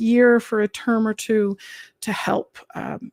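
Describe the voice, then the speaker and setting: Monotone, flat intonation and a calm tone at a very slow pace, in a very clean recording with a silent background and a dry, close sound with no echo. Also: woman. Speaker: teacher. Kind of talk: livestream chat with viewers.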